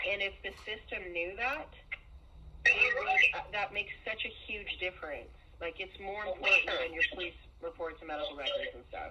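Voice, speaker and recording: Over noticeable background noise, a woman talks at a moderate pace with big swings in loudness. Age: 40s. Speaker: family member recounting abuse. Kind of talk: phone call with sister.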